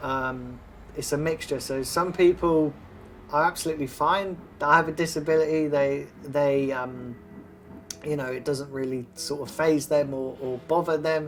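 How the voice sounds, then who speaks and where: Over music in the background, a man with a fairly high pitch speaks in a fairly even intonation. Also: moderate pace. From South West England (Exeter, from age five). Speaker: football fan. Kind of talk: interview. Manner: casual.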